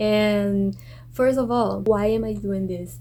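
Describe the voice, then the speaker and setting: Speaking fairly slowly, a woman talks with a Brazilian accent. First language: Portuguese. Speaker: exchange student vlogger. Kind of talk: casual vlog.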